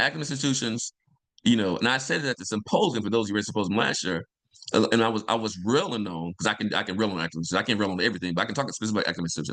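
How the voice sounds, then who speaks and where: A man speaks at a very fast pace with a fairly low pitch. His tone is energetic and his intonation lively. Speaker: environmental justice professor and nonprofit founder. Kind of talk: interview on a video call. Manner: energetic hype-man delivery.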